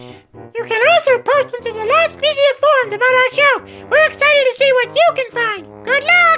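Faint music plays in the background as a put-on character voice speaks at a moderate pace. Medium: audio drama.

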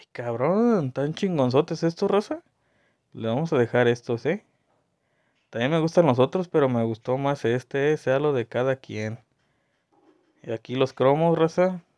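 A man with a fairly high pitch and a dark, mellow tone speaks at a fairly slow pace with lively intonation and long, frequent pauses, in a dry, close sound with no echo. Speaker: gaming video creator. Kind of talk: casual gameplay commentary. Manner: animated.

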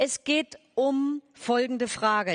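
Against a quiet background, a woman speaks at a high pitch. Her pitch varies in an ordinary way. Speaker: stage moderator. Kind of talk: speaker introduction. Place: stage. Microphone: headset.

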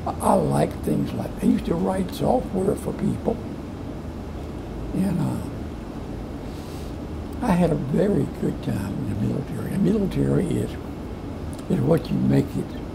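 Long, frequent pauses break up a man's fairly slow speech. Noticeable background noise is present. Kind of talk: interview answer.

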